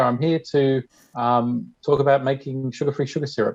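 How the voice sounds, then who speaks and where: A man with fairly even intonation over a quiet background. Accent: Australian. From Australia. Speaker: diabetes community member. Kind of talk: tutorial. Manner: fast.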